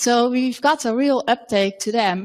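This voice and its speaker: Speaking at a fairly slow pace, a woman has a fairly high pitch with ordinary pitch variation. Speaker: lawyer. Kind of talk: conference talk. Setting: workshop with audience. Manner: halting, many fillers.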